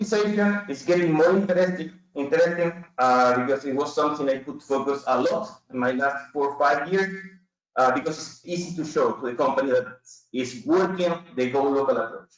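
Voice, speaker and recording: Here a man talks at a fairly quick pace with a Chilean Spanish accent. His pitch is fairly high and its variation is ordinary. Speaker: business consultant, company CEO. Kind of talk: webinar presentation. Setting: online webinar. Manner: halting, with many fillers.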